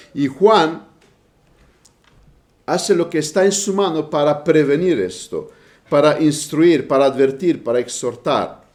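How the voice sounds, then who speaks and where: Speaking in a Romanian accent, a man keeps a fairly slow pace with long, frequent pauses. His pitch is fairly high, with ordinary pitch variation. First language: Romanian (speaking Spanish). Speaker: preacher. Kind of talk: sermon. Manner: halting.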